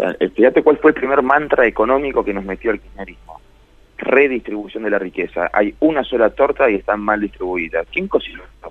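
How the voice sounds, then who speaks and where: With noticeable background noise behind him, a man talks at a fairly quick pace, his loudness swinging widely. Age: 30s. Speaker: writer and columnist. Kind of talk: radio interview.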